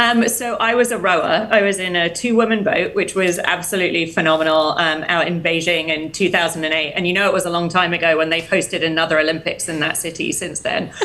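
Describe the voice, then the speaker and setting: A woman's fairly low voice at a very fast pace, hardly any pauses, ordinary pitch variation, and noticeable background noise. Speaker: health tech executive. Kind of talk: interview.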